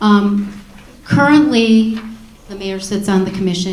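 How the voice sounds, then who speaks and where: A woman talks at a moderate tempo with fairly level intonation, her voice picked up with audible room echo and noticeable background noise. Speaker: council member. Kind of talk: answering question at town hall.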